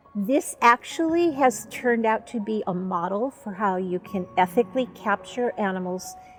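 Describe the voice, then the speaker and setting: A woman at a moderate pace, music playing in the background. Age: 70s. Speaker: animal sanctuary volunteer, retired educator. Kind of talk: documentary interview.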